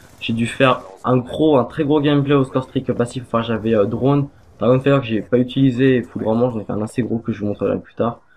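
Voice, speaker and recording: Speaking very fast, a man keeps to a medium pitch. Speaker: gaming youtuber. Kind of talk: gameplay commentary. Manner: halting, many fillers. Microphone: poor quality microphone.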